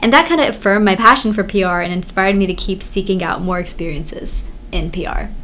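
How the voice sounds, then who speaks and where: A woman's very fast speech at a medium pitch with ordinary pitch variation, music playing in the background. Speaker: college student co-host. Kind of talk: casual chat.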